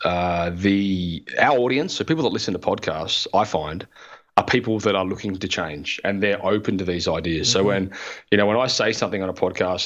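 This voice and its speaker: A man with a very deep, low voice and an Australian accent at a fairly quick pace. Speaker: podcaster, former plumber. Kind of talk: interview answer.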